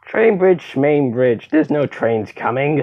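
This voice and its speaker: The speaker uses a put-on character voice. It sits at a low-to-middle pitch and moves at a fairly slow pace. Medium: machinima. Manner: bickering, sarcastic.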